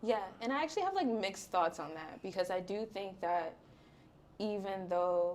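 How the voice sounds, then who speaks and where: Using a normal speaking voice, a woman talks at a medium pitch and shows ordinary pitch variation. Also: moderate pace. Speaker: podcaster and influencer. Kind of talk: podcast interview answer.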